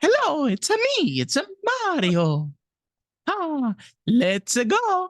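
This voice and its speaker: In a put-on character voice with an Italian accent, the speaker talks at a very slow pace and a high pitch. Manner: playful.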